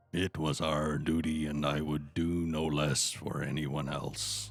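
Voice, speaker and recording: In a put-on character voice, a man talks in a raspy, very deep, low register with monotone, flat intonation at a fairly slow pace while faint music plays in the background. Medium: actual play.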